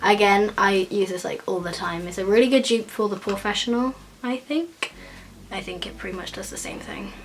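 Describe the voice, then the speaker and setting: A woman with an English accent speaks at a moderate pace and medium pitch, with ordinary pitch variation. Her loudness swings widely, and there is noticeable background noise. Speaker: beauty vlogger. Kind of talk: makeup tutorial. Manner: casual, chatty.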